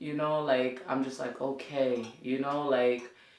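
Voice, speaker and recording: A woman's very deep, low voice at a very slow pace, with audible room echo. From New York City (Brooklyn, Coney Island). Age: 30s. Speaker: community teacher. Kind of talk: interview. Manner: casual.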